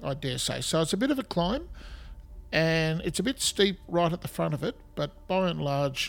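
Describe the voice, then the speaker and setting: Music plays in the background as a man speaks. He has a fairly high pitch and an Australian accent. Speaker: podcast host. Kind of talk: scripted-style history podcast narration, informal. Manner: informal, conversational, hesitant with fillers.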